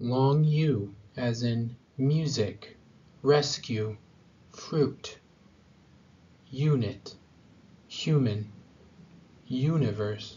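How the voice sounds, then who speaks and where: Speaking at a very slow pace with long, frequent pauses, a man with an American accent uses a medium pitch, ordinary pitch variation and a somewhat breathy delivery. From USA. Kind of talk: pronunciation tutorial. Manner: slow, clear.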